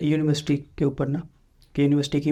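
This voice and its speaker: Fairly high-pitched yet dark and mellow, a man's voice moves at a moderate pace in a flat monotone. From Pakistan, Kamalia, Punjab. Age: 20s. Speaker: newly graduated doctor. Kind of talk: interview. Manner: casual.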